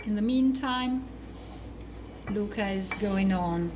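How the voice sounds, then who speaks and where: A woman speaks in a Neapolitan accent. The recording has audible room echo and noticeable background noise. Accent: Italian (Neapolitan) accent in English. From Naples, southern Italy. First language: Italian. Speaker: cooking show co-host. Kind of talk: cooking demonstration. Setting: kitchen.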